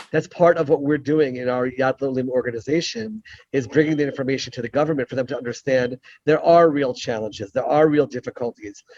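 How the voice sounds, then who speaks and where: A man speaks at a very fast pace with an American accent. His pitch is fairly high, with ordinary pitch variation. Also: dry, close sound with no echo. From United States. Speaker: rabbi and former Israeli legislator. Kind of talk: Q&A answer in an online talk. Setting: video call from an airport.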